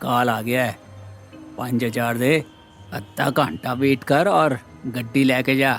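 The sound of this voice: The voice reads in an unforced way. It is an unforced reading voice.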